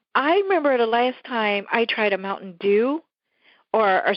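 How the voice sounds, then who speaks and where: The voice has an animated tone with very wide pitch swings. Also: woman. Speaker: podcast co-host. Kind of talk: casual chat.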